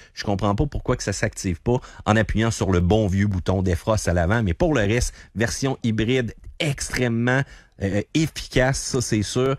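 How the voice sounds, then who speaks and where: Speaking with a Quebec accent, a man of medium pitch uses lively intonation at a moderate pace in a very clean recording with a silent background. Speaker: car columnist. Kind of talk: radio interview.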